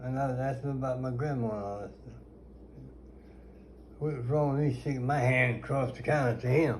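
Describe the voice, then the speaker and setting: This man's voice has a dark, mellow tone, a somewhat breathy quality and ordinary pitch variation. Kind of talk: storytelling interview answer.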